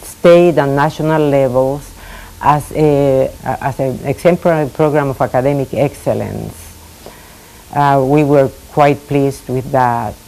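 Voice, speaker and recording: A woman with a Spanish accent, very deep and low in pitch, flat and monotone, at a fairly slow pace over noticeable background noise. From Puerto Rico. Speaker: retired school administrator. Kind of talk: oral history interview. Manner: halting, many fillers.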